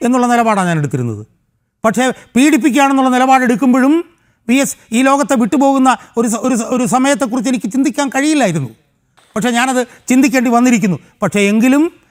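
A man speaks with an extremely high pitch. His pitch varies in an ordinary way. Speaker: political activist. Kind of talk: interview statement.

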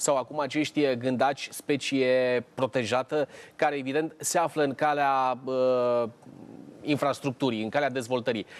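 Flat, monotone intonation from a man, delivered at a fairly slow pace. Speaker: TV show host. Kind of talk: TV talk show discussion. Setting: TV studio. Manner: formal. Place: studio. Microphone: lapel.

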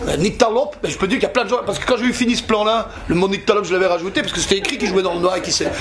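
A man speaks in a high voice with an animated tone and ordinary pitch variation. Noticeable background noise runs underneath. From Belgium. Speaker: actor. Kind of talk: interview answer. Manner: animated, humorous storytelling.

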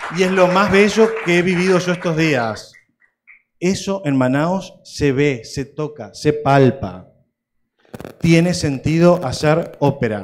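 Over light background noise, a man with a fairly high pitch speaks very slowly but with lively intonation. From Uruguay. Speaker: opera house director; panelist. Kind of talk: conference closing speech. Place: hall. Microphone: handheld.

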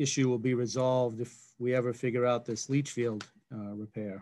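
At a moderate pace, a man speaks with a medium pitch and fairly even intonation.

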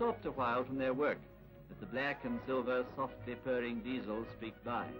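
A man proceeds at a moderate pace as music plays in the background. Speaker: newsreel narrator. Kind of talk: documentary newsreel commentary.

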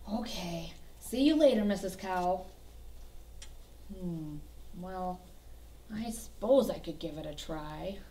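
With clear background noise, a woman uses a cartoonish character voice at medium pitch, moving at a fairly slow pace with long, frequent pauses. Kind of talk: children's puppet show. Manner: eager, excitable.

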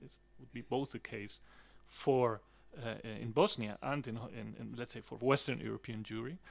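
Ordinary pitch variation and a moderate pace from a man's voice. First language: Spanish. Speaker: academic; conference panelist. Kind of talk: reading aloud a paper. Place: meeting room.

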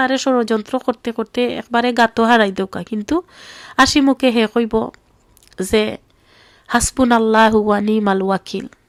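A woman with a Sylheti accent speaks at a fairly high pitch with fairly even intonation, in a dry, close recording with no echo. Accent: Sylheti Bengali. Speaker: vlogger. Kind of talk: video monologue. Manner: emotional.

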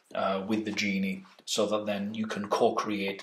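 A man with a fairly low pitch speaks at a fairly slow pace, with audible room echo around him. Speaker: meditation and lucid dreaming trainer. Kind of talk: workshop introduction lecture. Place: home room.

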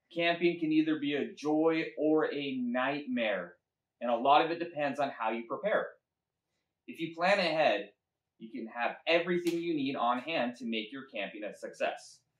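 Recorded with audible room echo, a man talks at a moderate pace with big swings in loudness. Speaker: presenter. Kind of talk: children's sermon. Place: garage. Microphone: camera far.

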